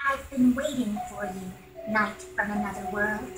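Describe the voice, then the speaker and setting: A female-sounding, put-on character voice speaks at a medium pitch and a moderate pace. Clear background noise and a slight echo are audible. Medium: video game. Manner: light, casual, friendly.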